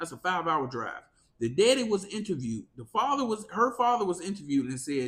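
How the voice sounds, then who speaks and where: Animated in tone, a man speaks at a fairly quick pace in a high pitch with very wide pitch swings. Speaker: podcast host. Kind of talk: casual commentary. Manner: sometimes jumbles words.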